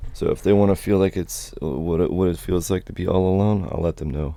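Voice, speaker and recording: A man with an American accent speaks at a moderate pace with ordinary pitch variation. His very deep, low voice has a dark, mellow tone. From Florida, Alachua County. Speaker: gamer streamer. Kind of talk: casual solo gaming commentary. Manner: halting.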